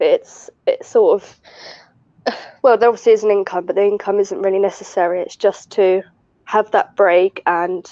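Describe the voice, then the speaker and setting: A woman's medium-pitched voice at a moderate pace, with monotone, flat intonation, big swings in loudness, and a dry, close sound with no echo. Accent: southern English. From southern England. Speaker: retail worker, mother. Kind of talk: casual chat.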